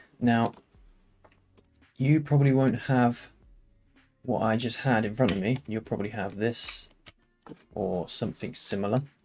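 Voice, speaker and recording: Music plays in the background while the speech goes at a fairly slow pace with long, frequent pauses. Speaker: game development tutorial creator. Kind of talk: tutorial. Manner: casual, with fillers.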